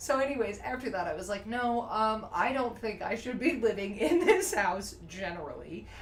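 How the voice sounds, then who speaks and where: A woman with a New Jersey accent, fairly high pitch, very wide pitch swings and a moderate pace, with noticeable background noise and audible room echo. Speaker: guest artist. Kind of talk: casual chat. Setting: livestream.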